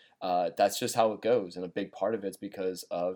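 Here a man speaks very fast. His fairly low voice has a dark, mellow tone. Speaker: NFL prediction podcast host. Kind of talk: solo sports commentary. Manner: halting, frequent fillers and repetitions.

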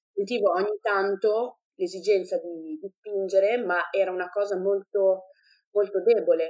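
In an ordinary speaking voice, a woman with a medium pitch talks at a fairly slow pace with fairly even intonation. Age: 20s. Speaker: mother sharing birth stories. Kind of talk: testimony.

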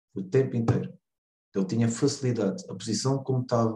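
A man speaks at a moderate pace. His tone is dark and mellow, and somewhat breathy. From Portugal, Lagos (Algarve). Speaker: American football head coach. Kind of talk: interview. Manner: halting, with repetitions.

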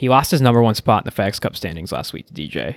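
A man speaks with fairly low pitch, lively intonation and vocal fry, in a dry, close sound with no echo. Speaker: podcast co-host. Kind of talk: casual chat.

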